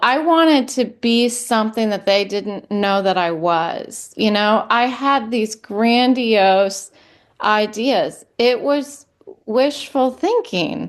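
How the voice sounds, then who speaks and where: A woman speaks at a very slow pace with a fairly high pitch and ordinary pitch variation. The background is quiet. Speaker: podcast host. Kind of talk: personal podcast monologue. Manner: hesitant, reflective.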